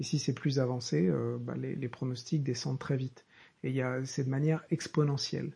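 Somewhat breathy and dark, mellow in tone, a man of medium pitch talks at a moderate pace with fairly even intonation. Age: 30s. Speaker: professional coach and podcast host. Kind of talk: solo monologue podcast. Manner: halting, many repetitions and fillers; improvised, off the cuff.

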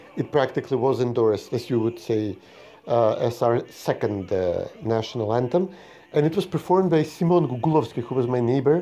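With a Macedonian accent, a man talks at a fairly quick pace in a medium pitch. His tone is dark and mellow, and his intonation is lively. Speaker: podcast co-host. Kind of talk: casual political chat.

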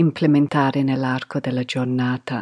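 Against a quiet background, a woman with an English accent is heard in a dry, close sound with no echo. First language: English (speaking Italian). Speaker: yoga podcast host. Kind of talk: podcast monologue.

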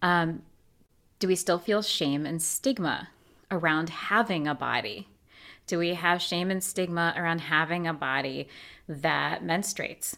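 The recording is very clean, with a silent background. A woman with an unremarkable speaking voice talks at a fairly slow pace, her pitch varying in an ordinary way. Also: fairly low pitch for a woman. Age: 40s. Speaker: movement teacher and core and pelvic floor rehab coach. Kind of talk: casual interview chat.

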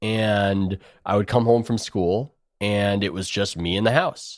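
A man with a Californian accent speaks at a fairly slow pace in a very clean recording with a silent background. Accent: General American (Californian). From US West Coast, San Diego. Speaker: sports writer. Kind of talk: interview conversation.

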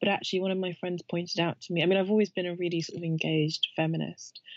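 A woman talks very fast in a fairly low voice, keeping her intonation fairly even. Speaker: writer and founder. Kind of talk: casual interview chat. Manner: calm and confident.

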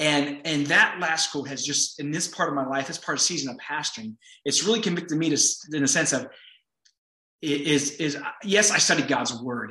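Energetic in tone, a man speaks at a fairly high pitch with ordinary pitch variation. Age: 40s. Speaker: pastor and county supervisor. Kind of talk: interview conversation. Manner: fast talker, energetic; animated.

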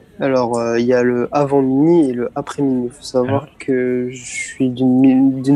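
A man talks in a mid-range pitch, with background noise clearly audible. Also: hardly any pauses, big swings in loudness. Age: 20s. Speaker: student and car enthusiast. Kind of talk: interview.

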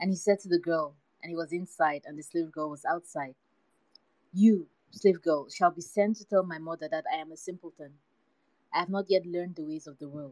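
With long, frequent pauses and big swings in loudness, a woman speaks at a fairly low pitch with fairly even intonation in a dry, close sound with no echo. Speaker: podcast host. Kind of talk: literary audiobook reading, storytelling read aloud from a book. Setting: live Twitter Space audio chat. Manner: measured, steady, narrative pace, story-like cadence.

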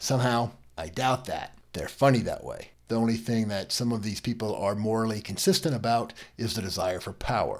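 In an unremarkable speaking voice, a man with an American accent talks at a fairly quick pace and medium pitch with ordinary pitch variation. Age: 50s. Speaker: legal podcast host. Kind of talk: solo commentary podcast.

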